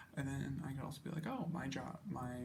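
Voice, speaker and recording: A man is whispering at a moderate pace, with noticeable background noise around him. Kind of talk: casual talk about project plans. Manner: whispered; rambling.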